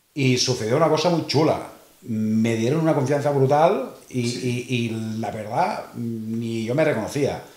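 Speaking fairly slowly, a man uses a medium pitch with ordinary pitch variation. Audible room echo and noticeable background noise accompany him. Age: 50s. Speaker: motorcycle rider. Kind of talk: casual chat.

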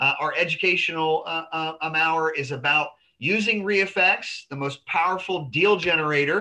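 A man speaks with ordinary pitch variation over quiet surroundings. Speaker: real estate investor group host. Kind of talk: educational webinar. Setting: video call. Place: office. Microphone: video call.

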